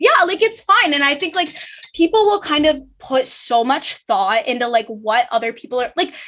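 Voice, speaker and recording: Loud and high-pitched, a woman with a bright, sharp tone speaks at a moderate pace with very wide pitch swings. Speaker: law student and podcast host. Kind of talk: casual chat.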